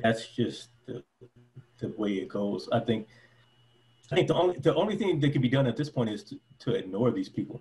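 With an American accent, a man talks at a fairly quick pace in a dark, mellow, somewhat breathy tone, with lively intonation and long, frequent pauses. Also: medium pitch for a man. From Detroit, US. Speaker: former preacher and convert interviewee. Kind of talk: casual interview. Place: home room. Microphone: video call.

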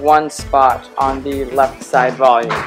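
As clear music plays behind him, a man talks. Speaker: climbing vlogger. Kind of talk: casual vlog chat. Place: gym. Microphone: phone near.

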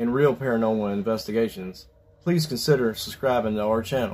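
Faint music plays in the background. A man talks at a fairly quick pace. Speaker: paranormal channel host. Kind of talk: storytelling intro. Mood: calm, slightly ominous.

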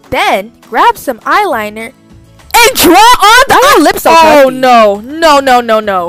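A woman speaks in a raised, projected voice. Faint music sits in the background. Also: dry sound with no echo. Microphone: phone near.

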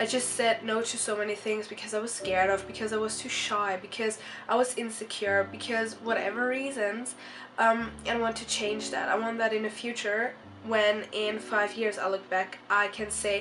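A woman's monotone, flat delivery at a moderate pace, with noticeable background noise. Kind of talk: casual talk to camera. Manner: frequent hesitations.

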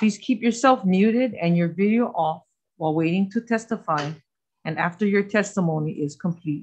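A woman's voice comes across somewhat breathy at a moderate pace. The background is quiet. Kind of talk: reading procedural rules at a hearing. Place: meeting room. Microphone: podium.

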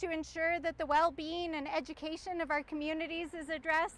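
With an extremely high pitch, a woman speaks at a moderate pace in a dry sound with no echo. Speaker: candidate. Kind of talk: campaign speech. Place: street.

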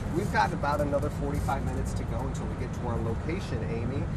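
Loud background noise fills the clip. A man speaks over it at a very fast pace. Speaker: reporter on a tour bus. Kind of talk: interview questions and live report. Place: bus. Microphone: lapel.

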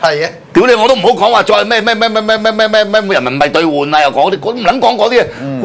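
A man's high-pitched voice at a fairly quick pace, with lively intonation, very even loudness and hardly any pauses. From Hong Kong. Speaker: political commentary host. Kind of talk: casual political talk show. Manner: animated, frequent swearing outbursts. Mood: angry, crude, emphatic. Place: studio.

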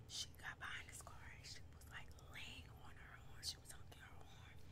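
A soft-spoken woman whispering over loud background noise. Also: moderate pace. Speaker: vlogger. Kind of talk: casual storytelling vlog. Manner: soft ASMR whisper. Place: home room. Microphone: webcam.

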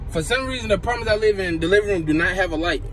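A man speaks at a very fast pace while light background noise sounds behind him. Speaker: vlogger. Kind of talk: casual vlog chat. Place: car.

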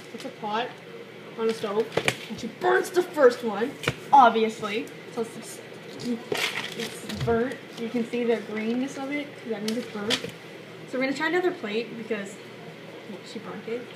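A woman at a moderate pace with long, frequent pauses and ordinary pitch variation, over loud background noise. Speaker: vlogger. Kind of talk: casual vlog chat. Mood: playful, joking. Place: kitchen. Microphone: phone near.

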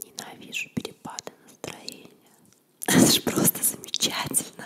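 A woman whispering at a moderate pace. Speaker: ASMR video creator. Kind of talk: casual talk to camera. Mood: playful, amused. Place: home room. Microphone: studio mic.

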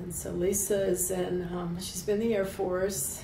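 There is noticeable background noise as a woman with an American accent speaks. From US South (Kentucky, Appalachia); US South. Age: 70s. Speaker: retired airline worker and union member; interviewee. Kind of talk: oral history interview. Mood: warm, smiling.

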